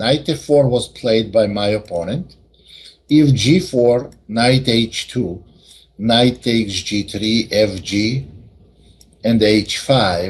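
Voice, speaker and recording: A somewhat breathy man at medium pitch, at a very slow pace. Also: ordinary pitch variation. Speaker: chess teacher. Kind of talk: lecture.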